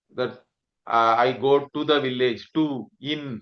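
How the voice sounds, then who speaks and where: With a Tamil accent, this bright, sharp voice moves at a very slow pace with ordinary pitch variation. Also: man. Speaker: Sanskrit teacher. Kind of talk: lecture.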